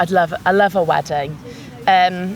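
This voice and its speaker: With noticeable background noise present, a woman talks at a medium pitch. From Northern England. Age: young. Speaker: singer. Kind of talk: interview answer. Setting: outdoors.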